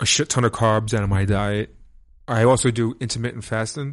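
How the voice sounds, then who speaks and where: With a New York accent, a man speaks at medium pitch and a moderate pace, using fairly even intonation over a quiet background. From New York, Brooklyn. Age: 30s. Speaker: techno DJ. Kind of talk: casual chat.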